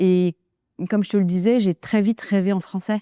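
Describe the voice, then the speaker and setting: A woman's dark, mellow tone at a moderate pace, dry and close with no echo, on a very clean recording with a silent background. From Kurdistan, Turkey. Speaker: interview guest. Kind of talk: interview. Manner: calm, measured; hesitant, many fillers.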